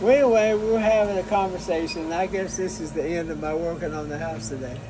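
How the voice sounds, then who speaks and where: Someone speaks very fast with an American accent. The room echo is audible and the background noise is noticeable. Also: man, high pitch for a man. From Kentucky. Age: 80s+. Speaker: air force veteran. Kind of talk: casual chat. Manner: halting.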